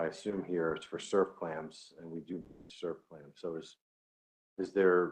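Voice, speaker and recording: A man's very deep, low pitch at a fairly slow pace, with monotone, flat intonation and big swings in loudness. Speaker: fishery council member. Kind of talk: committee meeting discussion.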